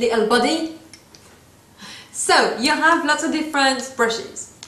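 Audible room echo surrounds a woman with a French accent who speaks at a fairly slow pace with very wide pitch swings. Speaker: beauty vlogger. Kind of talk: tutorial. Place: home room. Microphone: phone near.

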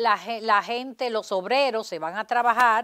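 A woman's fairly slow voice, dry with no echo, against a quiet background. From Dominican Republic. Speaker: politician and lawyer; interview guest. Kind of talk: interview. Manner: halting, many repetitions. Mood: critical, assertive. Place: studio.

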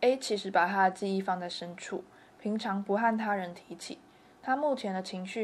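With a Taiwanese accent, a woman speaks at a moderate pace in a medium pitch with fairly even intonation. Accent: Taiwanese Mandarin. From Kaohsiung, Taiwan. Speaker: university student filmmaker. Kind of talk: first-person documentary narration.

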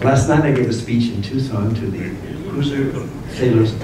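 Amid audible room echo and noticeable background noise, a man talks with ordinary pitch variation. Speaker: guest lecturer. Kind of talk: lecture. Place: hall.

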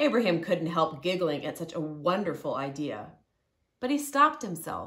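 A woman's low-pitched voice, bright and sharp in tone, with big pitch swings at a moderate pace

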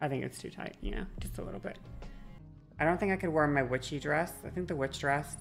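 With faint music in the background, a woman talks at a fairly quick pace. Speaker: live streamer. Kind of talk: casual stream chat reacting to chat. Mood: playful, slightly strained. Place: home room. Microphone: studio mic.

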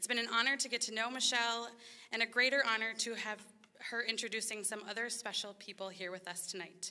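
A woman talks at a very fast pace in a bright, sharp tone. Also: fairly even intonation. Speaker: event host. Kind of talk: scripted speech at ceremony. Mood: warm, appreciative. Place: hall. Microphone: podium.

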